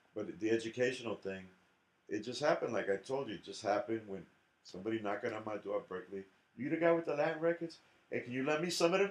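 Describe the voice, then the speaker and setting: With an American accent, a man at medium pitch talks at a very fast pace with very wide pitch swings. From New York City, South Bronx. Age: 60s. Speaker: jazz drummer and educator. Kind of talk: interview conversation. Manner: animated.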